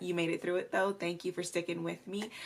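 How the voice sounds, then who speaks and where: Her pitch is fairly low for a woman. She speaks with vocal fry. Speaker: beauty youtuber. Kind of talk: video outro to camera. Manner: casual, chatty.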